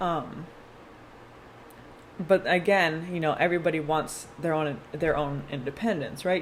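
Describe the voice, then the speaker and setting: The woman's voice sits fairly low in pitch. There is audible room echo. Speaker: tarot reader. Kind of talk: tarot reading. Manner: fast; casual.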